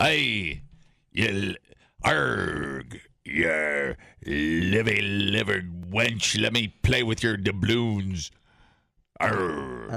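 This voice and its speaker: Putting on a character voice, a man speaks very slowly at a very deep, low pitch, sounding raspy, with long, frequent pauses. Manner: playful.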